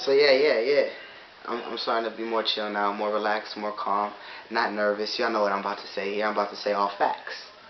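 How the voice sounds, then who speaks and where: A man talks very fast at a fairly low pitch in a flat monotone. Audible room echo and noticeable background noise are present. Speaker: vlogger giving a philosophical talk. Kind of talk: unscripted monologue.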